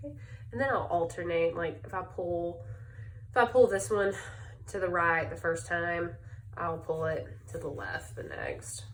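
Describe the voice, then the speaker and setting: A Southern US accent at a moderate pace, with long, frequent pauses, very wide pitch swings, big shifts in loudness and audible room echo. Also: woman, fairly low pitch for a woman. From US South, Birmingham, Alabama. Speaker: crafter, speech-language pathologist. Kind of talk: tutorial. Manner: casual, hesitant with fillers.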